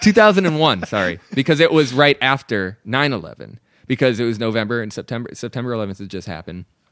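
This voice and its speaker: Very fast delivery with lively intonation and big swings in loudness. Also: man, medium pitch for a man. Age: 30s. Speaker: tattoo artist. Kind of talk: casual chat.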